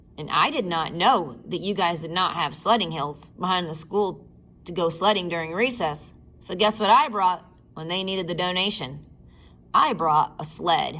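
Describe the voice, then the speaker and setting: In an American accent, a woman talks at a moderate pace with a fairly low pitch, and audible room echo surrounds her. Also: ordinary pitch variation. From Michigan, US. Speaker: primary school teacher. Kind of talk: talk to schoolchildren. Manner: animated.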